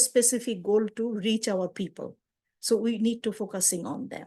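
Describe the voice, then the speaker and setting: Against a quiet background, a woman with a Bengali accent speaks at a medium pitch and a moderate pace. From Bangladesh. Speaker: community outreach worker and translator. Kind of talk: webinar presentation.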